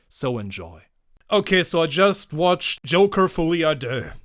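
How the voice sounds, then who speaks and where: A man is heard on a very clean recording against a silent background. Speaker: film reviewer. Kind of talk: rant. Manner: occasional stammering.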